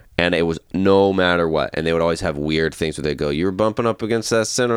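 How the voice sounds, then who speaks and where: This voice has an American accent and ordinary pitch variation. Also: man. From US South, Georgia. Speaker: comedian. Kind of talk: casual chat.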